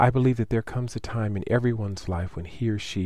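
In an American accent, a man speaks at a fairly quick pace, his somewhat breathy voice dark and mellow in tone with ordinary pitch variation. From United States. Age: 40s. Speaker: nurse practitioner. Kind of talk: reading aloud.

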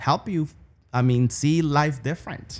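With ordinary pitch variation, a man talks in a Spanish accent. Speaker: college business program director. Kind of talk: casual interview conversation.

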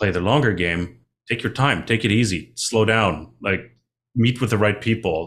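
A normal speaking voice from a man, fairly low in pitch with ordinary pitch variation, at a moderate pace, in a very clean recording with a silent background. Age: 30s. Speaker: mining finance consultant. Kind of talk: casual interview.

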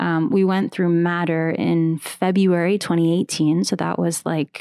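In a dry, close recording with no echo, a woman with an American accent uses a plain, everyday voice, fairly low in pitch and fairly even in intonation. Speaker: podcast network founder and host. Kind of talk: casual interview chat. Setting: video call.

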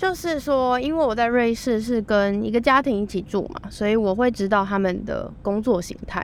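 This woman has a plain, everyday voice with a fairly high pitch. Her pitch varies in an ordinary way at a moderate pace. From Taiwan. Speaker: student and former au pair. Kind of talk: casual interview chat.

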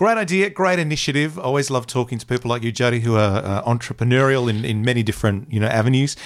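Talking very fast with lively intonation, a man speaks at a medium pitch with an Australian accent. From Queensland, Australia (Bundaberg). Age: 50s. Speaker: podcast host. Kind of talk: interview; scripted intro and outro.

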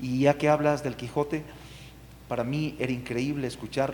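A man speaks over noticeable background noise. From Ecuador, Ambato. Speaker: artist. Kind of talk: panel discussion.

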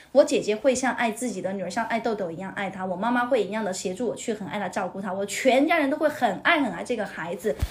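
A woman's fairly high, somewhat breathy voice, animated in tone and lively in intonation. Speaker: podcast guest, teacher colleague of host. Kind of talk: casual chat.

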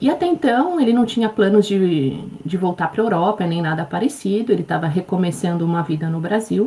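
A woman keeps a fairly quick pace as noticeable background noise runs behind her. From Brazil. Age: 40s. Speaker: life coach. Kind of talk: interview.

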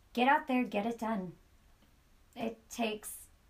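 A woman with a squeaky, fairly high voice speaks at a fairly slow pace with ordinary pitch variation. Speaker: podcast host. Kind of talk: interview. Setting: studio.

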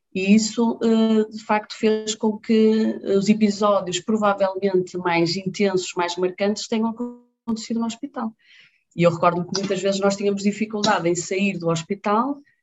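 A woman at a medium pitch with fairly even intonation and a moderate pace, music in the background. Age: 30s. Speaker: infectious disease doctor. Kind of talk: casual interview.

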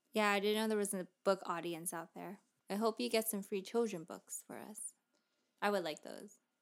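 A woman with a normal speaking voice and a medium pitch talks at a moderate pace, with ordinary pitch variation and big swings in loudness. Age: 20s. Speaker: podcast co-host, new parent. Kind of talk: casual chat.

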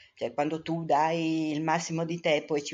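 The woman's pitch is very deep and low, and her delivery comes at a moderate speed. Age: 60s. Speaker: mother of the co-host. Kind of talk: casual interview.

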